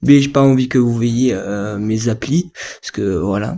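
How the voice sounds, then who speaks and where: A man at medium pitch talks at a very slow pace. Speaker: gaming youtuber. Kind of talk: gameplay commentary. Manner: animated.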